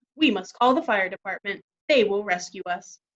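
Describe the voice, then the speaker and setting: Using a put-on character voice, a woman speaks at a moderate pace and medium pitch with lively intonation. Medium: read story.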